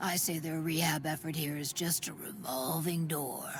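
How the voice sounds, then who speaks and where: A put-on character voice at middle pitch moves at a moderate pace, with clear background noise behind it. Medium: video game. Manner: gruff, drawling, wry.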